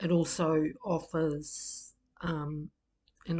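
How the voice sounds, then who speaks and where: A woman speaks in a very deep, low pitch, somewhat breathy, in a flat monotone. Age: 60s. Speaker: group facilitation trainer. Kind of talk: personal introduction talk. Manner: hesitant, many fillers.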